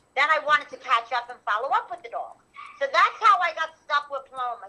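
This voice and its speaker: With a New York accent, a raised, projected voice with a bright, sharp tone races along at a very fast pace. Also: woman. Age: 50s. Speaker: animal rescuer. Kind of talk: testimony. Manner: fast, rambling with restarts.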